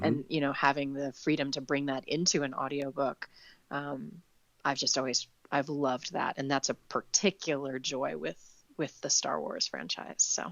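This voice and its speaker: This woman's voice sits very deep and low, with vocal fry throughout. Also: fairly even intonation, moderate pace. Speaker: audiobook narrator. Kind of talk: interview answer. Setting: remote call, home recording.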